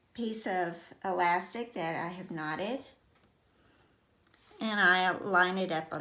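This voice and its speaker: Very slowly, a woman with a Texan accent speaks at a medium pitch, with ordinary pitch variation. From Texas. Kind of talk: sewing tutorial.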